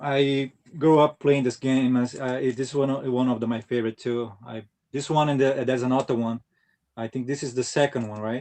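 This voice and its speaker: A man with a Brazilian Portuguese accent, medium-pitched, speaking at a fairly quick pace in a flat, monotone delivery. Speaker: retro gaming YouTuber. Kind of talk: casual chat. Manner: halting.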